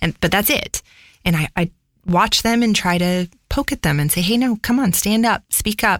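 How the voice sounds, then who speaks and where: In a very clean recording with a silent background and a dry, close sound with no echo, a woman with a medium-pitched, normal speaking voice talks at a moderate pace with lively intonation and very even loudness. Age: 30s. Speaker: audio engineer and studio owner. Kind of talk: interview conversation. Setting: recording studio.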